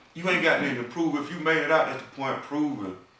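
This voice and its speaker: A man talks at a very fast pace, with audible room echo and noticeable background noise. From US South, small town. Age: 40s. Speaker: tax business owner and nonprofit founder. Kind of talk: casual chat.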